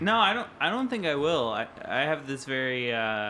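A man speaks at a moderate pace and medium pitch, with a nasal, guttural sound and a bright, sharp tone. His pitch makes big swings.

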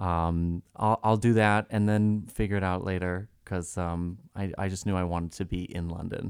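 Very deep and low, a man's voice carries an American accent with monotone, flat intonation at a moderate pace. He leaves hardly any pauses, and the recording is very clean with a silent background. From Massachusetts (Reading, near Boston). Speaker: costume designer. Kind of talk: interview.

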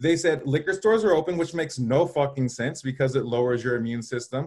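A man's normal speaking voice with an American accent, fairly quick, with ordinary pitch variation. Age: 30s. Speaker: Instagram marketing guest. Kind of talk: casual chat. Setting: live stream.

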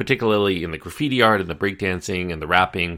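The voice has a bright, sharp tone and moves at a very fast pace with ordinary pitch variation. The recording is very clean, with a silent background. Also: man. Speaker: film podcaster and reviewer. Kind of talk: film review podcast monologue, documentary-style narration. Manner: conversational, explanatory, even-paced; informative, measured, like a documentary guide.

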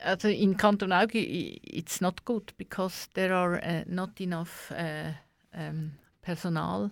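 A woman talks at a very slow pace in a fairly low pitch with fairly even intonation. The recording is very clean, with a silent background. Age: 60s. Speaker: asylum rights activist. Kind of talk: radio interview. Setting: radio studio. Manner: halting.

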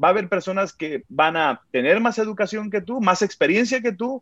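A man's high-pitched voice at a moderate pace, dry and close with no echo, in a quiet background. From Mexico (Sinaloa, then Guadalajara). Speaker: worship pastor. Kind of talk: interview. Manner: halting, many repetitions.

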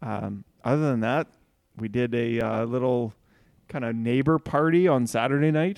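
A man speaks in a normal speaking voice at a medium pitch and moderate pace, with ordinary pitch variation over a quiet background. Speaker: podcast co-host.

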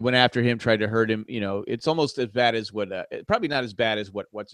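A plain, everyday voice at a fairly quick pace with ordinary pitch variation, a dry, close sound with no echo, and a quiet background. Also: man. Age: 50s. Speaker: podcast co-host. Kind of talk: casual chat. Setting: video call.

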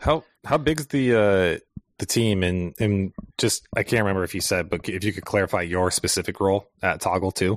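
A man with an unremarkable speaking voice talks at a moderate pace, fairly low in pitch with ordinary pitch variation, in a very clean recording with a silent background and dry, close sound with no echo. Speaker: podcast co-host, agency owner. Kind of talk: casual chat.

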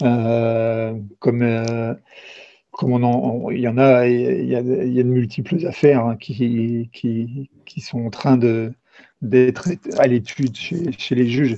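A man at medium pitch speaks at a very slow pace with fairly even intonation. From eastern France. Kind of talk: interview. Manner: halting.

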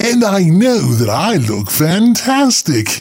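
A man puts on a high character voice. He talks at a fairly slow pace. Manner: prim, self-assured.

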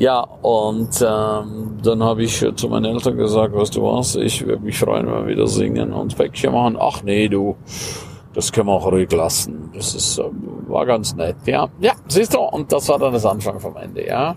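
A man at a moderate pace amid noticeable background noise. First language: Romansh (speaking German). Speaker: life coach and podcaster. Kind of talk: casual monologue.

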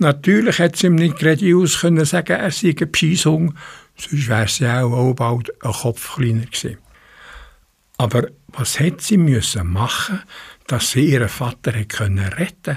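At a moderate pace, a somewhat breathy man speaks with a fairly high pitch and very wide pitch swings. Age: 80s+. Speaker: community radio host. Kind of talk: radio presentation, partly reading a fairy tale.

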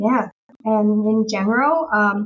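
A woman speaks at a very slow pace, somewhat breathy, with ordinary pitch variation. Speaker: elementary school teacher and streamer. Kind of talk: casual chat.

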